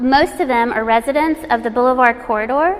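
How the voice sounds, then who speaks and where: Noticeable background noise sits behind a woman speaking. Her voice is high in pitch with ordinary variation. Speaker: arts educator, nonprofit director. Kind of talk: workshop presentation. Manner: halting, self-correcting.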